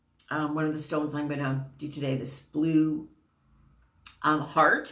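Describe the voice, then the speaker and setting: A woman with a very deep, low pitch speaks in a monotone, flat intonation, with audible room echo around her. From Canada. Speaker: spiritual card reader. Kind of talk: casual spiritual talk to camera. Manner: chatty, many fillers.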